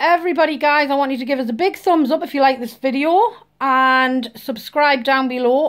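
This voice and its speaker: Speaking with a Geordie accent, a woman uses a high pitch and lively intonation. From northeast England, Newcastle. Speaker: vlogger. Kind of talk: casual vlog introduction.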